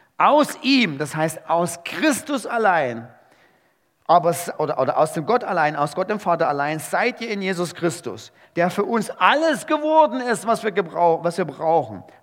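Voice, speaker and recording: This man has a high-pitched, animated tone with very wide pitch swings. He talks at a moderate pace. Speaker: preacher. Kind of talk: sermon. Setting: church. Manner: animated, emphatic preacher's delivery; conversational, rhetorical questions, punchy phrases.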